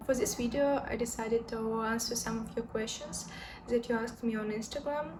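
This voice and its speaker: Noticeable background noise and audible room echo accompany a woman speaking at a fairly high pitch. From Belarus. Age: 20s. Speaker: lifestyle vlogger. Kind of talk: Q&A vlog, casual talk to camera. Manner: halting, many filler sounds.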